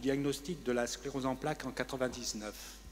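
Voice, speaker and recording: A man uses an ordinary speaking voice at a medium pitch and a moderate pace. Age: 60s. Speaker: retiree with multiple sclerosis giving testimony. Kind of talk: testimony.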